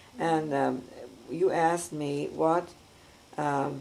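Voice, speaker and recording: An American accent with ordinary pitch variation and audible room echo. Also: woman. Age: 70s. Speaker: grandmother telling her life story. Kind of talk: oral history interview. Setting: at her home. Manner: hesitant, many filler words.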